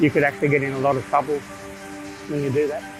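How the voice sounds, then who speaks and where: A man with a fairly high pitch and ordinary pitch variation, music playing in the background. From Australia, Macleay Valley region, New South Wales. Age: 60s. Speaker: traditional owner, cultural preservationist. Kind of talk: interview answer. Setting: outdoors.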